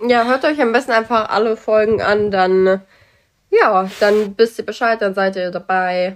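Her intonation stays fairly even at a fairly high pitch. The woman talks in an ordinary speaking voice. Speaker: podcast co-host. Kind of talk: casual chat. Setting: train station.

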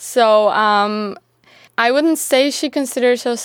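A woman with a Turkish accent at a fairly slow pace, ordinary pitch variation, and a dry, close sound with no echo on a very clean recording with a silent background. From Turkey. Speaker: university student and writer. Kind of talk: casual interview. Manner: hesitant, with many fillers.

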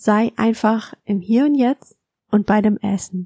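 Very slowly, a woman talks in a fairly high, somewhat breathy voice with ordinary pitch variation and a dark, mellow tone. Her tone is calm and soothing, and the sound is dry and close with no echo. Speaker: podcast host and mindful eating coach. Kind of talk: guided meditation. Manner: slow, calm, soothing; gentle, soft-spoken, instructing.

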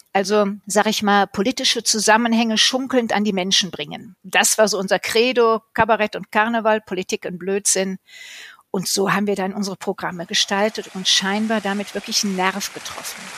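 A woman talks at a moderate pace in a medium pitch with flat, monotone intonation, recorded very cleanly against a silent background with a dry, close sound and no echo. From Cologne, Germany. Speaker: carnival cabaret performer. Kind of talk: interview.

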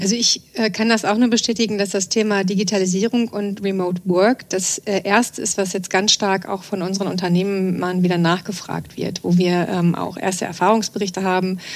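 A woman talks at a moderate pace in a flat monotone, with hardly any pauses. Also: medium pitch for a woman. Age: 40s. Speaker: trend scout at a chamber of commerce. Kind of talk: podcast interview. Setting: studio. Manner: frequent hesitation fillers.

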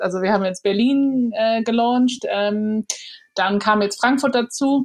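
Her pitch high, a woman talks at a moderate pace, with ordinary pitch variation. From Hamburg, Germany. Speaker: PR agency founder. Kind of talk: podcast interview.

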